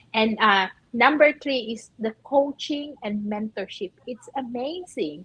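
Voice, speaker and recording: Lively intonation carries a very slow delivery in a Filipino accent, with a dry, close sound and no echo. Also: woman, fairly high pitch for a woman. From Philippines. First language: Filipino language. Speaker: nurse and online business owner. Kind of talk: live stream interview.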